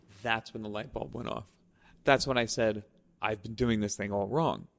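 Vocal fry runs through this man's fairly low-pitched voice. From Staten Island, New York. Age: 40s. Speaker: videographer. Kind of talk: casual chat. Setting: studio.

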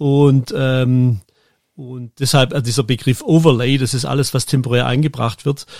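This man has a medium pitch and fairly even intonation. He speaks at a fairly slow pace. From Germany. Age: 50s. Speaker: football event production manager. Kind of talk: interview. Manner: halting, many fillers.

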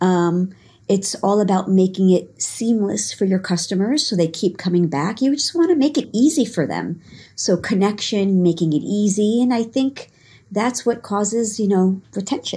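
A woman with a New York accent, medium pitch, somewhat breathy, dark, mellow tone, lively intonation, and moderate pace. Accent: New York American. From New York, Long Island. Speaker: dance fitness instructor. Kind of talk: casual interview. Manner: hesitant, many fillers.

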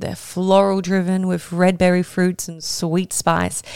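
In a normal speaking voice, a woman talks at a fairly slow pace and a medium pitch. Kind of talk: casual educational monologue. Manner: casual, chatty, laughs often.

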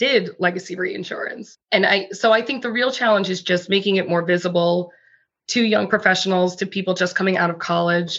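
A woman's ordinary speaking voice at a medium pitch, with fairly even intonation. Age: 30s. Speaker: corporate lawyer. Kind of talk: interview.

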